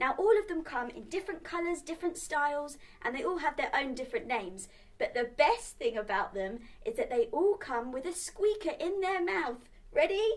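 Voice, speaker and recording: Her pitch extremely high, a woman speaks at a moderate pace with very wide pitch swings. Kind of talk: children's show presenting. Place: home room.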